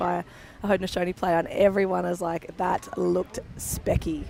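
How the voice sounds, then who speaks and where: A woman with an Australian accent, music in the background. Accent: thick Australian. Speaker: lacrosse commentator. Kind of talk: live commentary.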